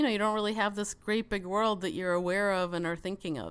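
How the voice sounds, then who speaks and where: Medium-pitched woman's voice with a Chicago accent. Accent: mild Chicago. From Chicago suburbs, US (immigrated from Soviet Union as child). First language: Russian. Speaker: podcast guest. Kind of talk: casual interview chat.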